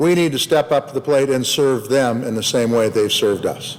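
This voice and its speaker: A man with a plain, everyday voice and an American accent speaks at a moderate pace with ordinary pitch variation. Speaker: U.S. senator. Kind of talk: Senate floor speech.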